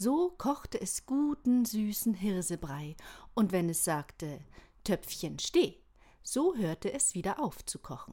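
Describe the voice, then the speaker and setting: A woman speaks very slowly in a dark, mellow tone that is calm and gentle, somewhat breathy, with very wide pitch swings. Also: fairly high pitch for a woman. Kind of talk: bedtime story reading. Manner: calm, gentle storytelling pace; warm, inviting, expressive.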